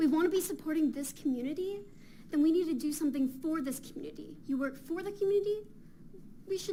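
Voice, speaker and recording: A woman speaks at a high pitch with lively intonation. Audible room echo surrounds her voice. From Fountain Valley, California. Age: 20s. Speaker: college student, public commenter. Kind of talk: public comment at council meeting. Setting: council chamber with audience. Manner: impassioned.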